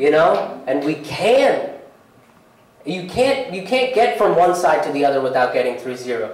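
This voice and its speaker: Room echo can be heard as a man talks in a high voice with very wide pitch swings. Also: moderate pace. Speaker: stand-up comedian. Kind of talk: live stand-up comedy set with earnest, hopeful closing message. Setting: theatre stage with live audience. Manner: conversational, repeats words and restarts sentences while building bits; shifts from wry punchlines to sincere, uplifting tone. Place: stage.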